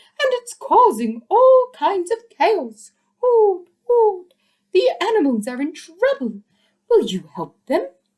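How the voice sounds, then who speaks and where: Squeaky and extremely high, a put-on character voice moves at a fairly slow pace with very wide pitch swings. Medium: read story. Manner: hooting.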